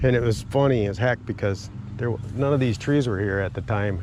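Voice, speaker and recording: A man's medium-pitched voice at a moderate pace. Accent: Upper Midwest. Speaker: retired outdoorsman. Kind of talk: personal storytelling. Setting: outdoors.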